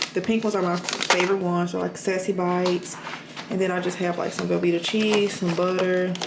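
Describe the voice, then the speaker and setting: A woman speaking at a fairly quick pace with monotone, flat intonation, amid audible room echo and noticeable background noise. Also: medium pitch for a woman. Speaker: NICU nurse and lifestyle vlogger. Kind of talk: casual get-ready-with-me vlog. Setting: at home. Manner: very fast, few pauses.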